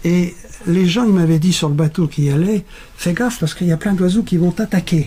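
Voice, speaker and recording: Over noticeable background noise, a man talks at a fairly quick pace. His pitch is high for a man, with ordinary variation. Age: 80s+. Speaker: world traveler. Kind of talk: interview storytelling.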